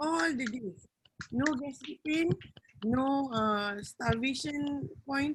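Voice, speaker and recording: A high-pitched woman speaks loudly and very slowly. Her pitch swings very widely. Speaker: wellness program participant. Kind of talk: testimony. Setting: video call. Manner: animated.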